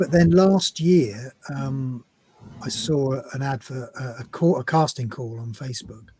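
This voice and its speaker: At a fairly slow pace, a man speaks with a West Country accent at medium pitch. His pitch varies in an ordinary way while his loudness swings widely. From Devon, England. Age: 50s. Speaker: actor. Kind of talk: interview answer.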